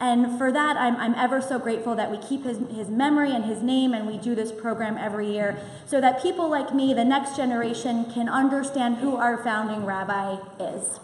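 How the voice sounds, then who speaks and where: A loud, high-pitched woman's voice at a fairly quick pace, with fairly even intonation, noticeable background noise and audible room echo. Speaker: synagogue president. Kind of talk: event welcome speech. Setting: synagogue hall with audience and microphone.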